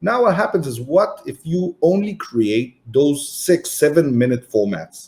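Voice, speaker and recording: Pitched fairly high, a man talks at a fairly slow pace with very wide pitch swings. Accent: Israeli. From Israel, Tel Aviv. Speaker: entrepreneur and marketing agency founder. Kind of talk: podcast interview. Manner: animated.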